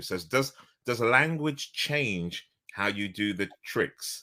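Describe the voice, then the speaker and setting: An animated man with a bright, sharp tone and very wide pitch swings. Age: 50s. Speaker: interview host and facilitator. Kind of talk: video call interview. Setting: video call.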